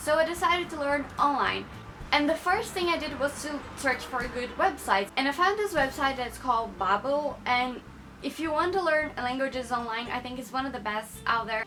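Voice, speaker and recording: A woman with a Portuguese accent speaks at a fairly quick pace in a high, raised, projected voice. Music plays in the background. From Brazil. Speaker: YouTuber. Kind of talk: casual vlog talk to camera.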